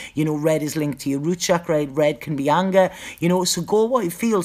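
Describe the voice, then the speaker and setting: With a northeast English accent, the speech runs at a fairly quick pace with lively intonation. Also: woman. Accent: northeast English (Geordie-type). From northeast England. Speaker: psychic tarot reader. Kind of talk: live stream Q&A chat. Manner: casual, halting with repetitions.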